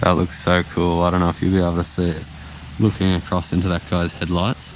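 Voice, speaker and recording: A man with an Australian accent, very deep and low in pitch, at a very fast pace and very even loudness. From Australia (Sydney). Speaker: travel vlogger. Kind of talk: casual vlog narration. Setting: outdoors at night in snow. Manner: animated. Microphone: muffled, speaking through jacket.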